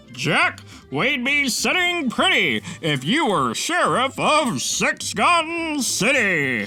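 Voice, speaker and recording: Clear music plays in the background as someone performs a put-on character voice at a very slow pace. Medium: read story.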